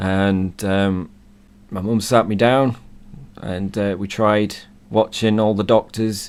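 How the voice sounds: Slow and with fairly even intonation, a man speaks at a fairly low pitch in a croaky voice with a clear, smooth tone.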